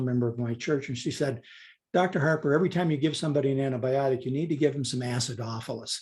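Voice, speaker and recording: A man speaks with fairly even intonation at a fairly high pitch. His voice is somewhat breathy. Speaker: doctor. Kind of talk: interview.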